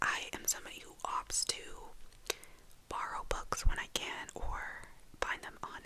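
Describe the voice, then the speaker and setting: Noticeable background noise accompanies a woman whispering at a fairly slow pace. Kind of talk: ASMR whispered book rambling. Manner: whispered; rambling, casual.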